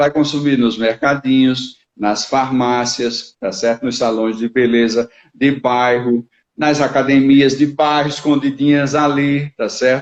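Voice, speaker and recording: A man with a fairly high pitch speaks in a normal speaking voice. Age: 60s. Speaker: business consultant. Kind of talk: live interview. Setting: online live stream.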